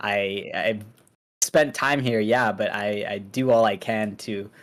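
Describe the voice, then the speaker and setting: Using fairly even intonation, a man speaks at a fairly low pitch. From Pakistan and Saudi Arabia, then United States. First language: Urdu. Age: 20s. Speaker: streamer, college student. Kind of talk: interview.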